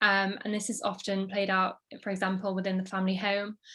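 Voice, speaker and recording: A woman speaks with a Yorkshire accent. The recording is very clean, with a silent background. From northern England, Sheffield. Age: 20s. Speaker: social media creator. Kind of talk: interview. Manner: hesitant, many fillers.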